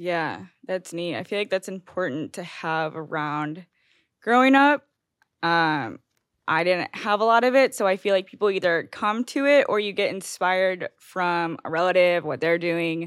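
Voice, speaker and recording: A woman with a plain, everyday voice speaks in an American accent at a medium pitch and a moderate pace, with lively intonation. The recording is very clean, with a silent background and a dry, close sound with no echo. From Missouri (outside St. Louis). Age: 20s. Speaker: podcast host. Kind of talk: casual interview chat.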